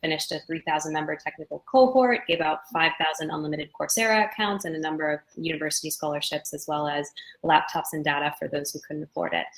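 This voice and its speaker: A woman with an American accent talks at a very fast pace with hardly any pauses, her very deep, low pitch showing ordinary variation. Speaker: venture capital investor. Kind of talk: panel discussion. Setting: video call.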